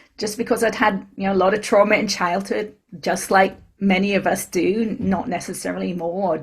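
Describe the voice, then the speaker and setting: The voice is somewhat breathy, with fairly even intonation. It is a very clean recording with a silent background. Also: woman. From Britain. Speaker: spiritual teacher and author. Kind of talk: interview.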